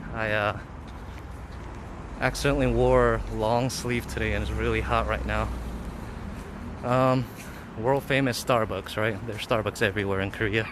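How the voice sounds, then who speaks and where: Long pauses come often in this speech. Background noise is noticeable throughout. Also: man, moderate pace. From US, Los Angeles. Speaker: vlogger. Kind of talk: live stream city walk. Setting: outdoors. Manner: casual, hesitant with fillers.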